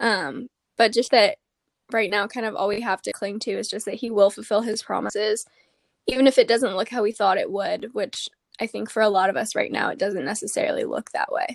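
A woman with an ordinary speaking voice, fairly high in pitch, at a fairly quick pace, with ordinary pitch variation and a dry, close sound with no echo. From Arizona. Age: 20s. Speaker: podcast host and college student. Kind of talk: casual interview.

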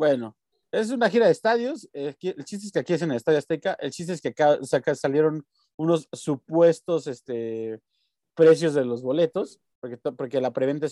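With a dark, mellow tone and fairly high pitch, a man speaks at a fairly quick pace with lively intonation, the sound dry and close with no echo. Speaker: podcast co-host. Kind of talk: casual chat.

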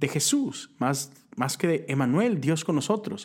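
A man with a northern Mexican accent talks at a fairly slow pace. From northern Mexico (Monterrey, Nuevo León). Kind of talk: devotional talk. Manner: casual, conversational.

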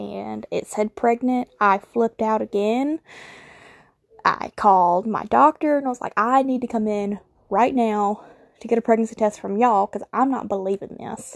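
A woman with a Southern US accent speaks at a moderate pace, her pitch fairly high with ordinary variation. The sound is dry and close, with no echo. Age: 20s. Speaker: podcast host. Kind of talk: casual monologue.

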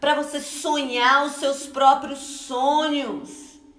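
A woman speaks very slowly in a high, flat monotone. Room echo is audible, with noticeable noise behind her. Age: 40s. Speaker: pastor. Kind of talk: sermon. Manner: conversational.

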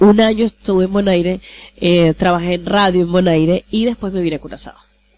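A woman talks at a fairly quick pace with fairly even intonation while noticeable background noise carries on behind her. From Venezuela, Maracaibo. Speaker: radio host and journalist. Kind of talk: interview. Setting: studio.

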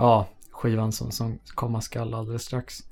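In a dark, mellow tone, a man with medium pitch speaks at a very slow pace. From Sweden, Södertälje. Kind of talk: casual chat.

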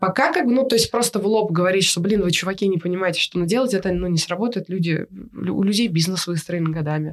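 A woman talks at a very fast pace, her pitch in the medium range with ordinary variation. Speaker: photographer. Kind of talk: interview. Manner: halting.

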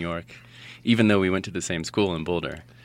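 Very fast and very deep, a man with an American accent talks with ordinary pitch variation on a very clean recording with a silent background. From Colorado. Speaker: indie musician. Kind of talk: casual interview chat.

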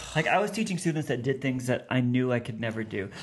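This man talks at a medium pitch with lively intonation and a somewhat breathy voice. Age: 40s. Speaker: theology professor and author. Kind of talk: casual interview. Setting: studio with big headphones.

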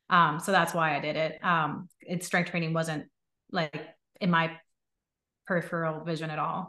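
A woman's fairly low, bright, sharp voice, monotone and flat, at a moderate pace with long, frequent pauses. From Puerto Rico. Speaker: medical doctor and coaching client. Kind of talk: casual interview.

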